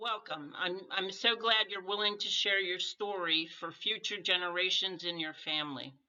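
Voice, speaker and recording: A woman with a plain, everyday voice speaks at a moderate pace and medium pitch, with ordinary pitch variation and hardly any pauses. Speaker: life story interviewer. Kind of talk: interview question.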